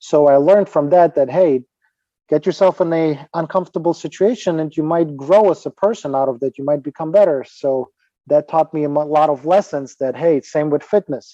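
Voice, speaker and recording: Speaking at a fairly quick pace with a Ukrainian accent, a man uses a fairly high pitch, a dark, mellow tone and ordinary pitch variation. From Ukraine. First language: Ukrainian or Russian. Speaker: fitness trainer and author. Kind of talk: podcast interview. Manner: halting, with repetitions.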